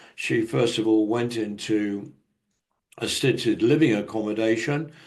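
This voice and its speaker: With a British accent, a man speaks at a fairly slow pace and medium pitch, his intonation fairly even. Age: 70s. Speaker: conference speaker on technology. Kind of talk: conference presentation.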